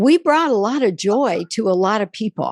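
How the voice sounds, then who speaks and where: The recording is very clean, with a silent background and a dry, close sound that has no echo. The speech moves at a fairly slow pace. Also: woman. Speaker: radio show host. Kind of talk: podcast interview host.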